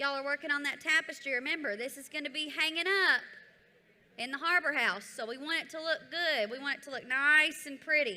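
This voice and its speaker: Projecting her voice with a Southern US accent, a woman speaks at a moderate pace with a high pitch, ordinary pitch variation and a bright, sharp tone. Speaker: event presenter. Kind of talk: event activity instructions. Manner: loud.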